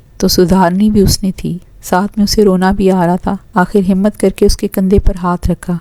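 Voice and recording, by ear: The text is read aloud. A natural voice does the reading.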